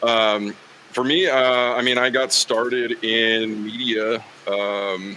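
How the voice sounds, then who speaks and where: A man speaks over noticeable background noise. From Wyoming, Green River. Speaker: football sideline reporter and play-by-play broadcaster. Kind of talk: casual podcast interview. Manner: conversational, many fillers.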